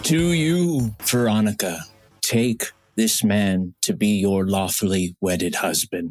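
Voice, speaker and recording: Using a put-on character voice, a man speaks at a fairly low pitch and fairly slow pace, with very wide pitch swings. His loudness stays very even, and the sound is dry and close with no echo. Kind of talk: ceremonial speech. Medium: comedy sketch.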